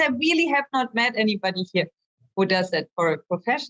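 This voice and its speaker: A woman with a German accent speaks at a moderate pace, her pitch swinging very widely in a dry, close recording with no echo. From Germany, Hamburg. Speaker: visual artist. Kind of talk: interview.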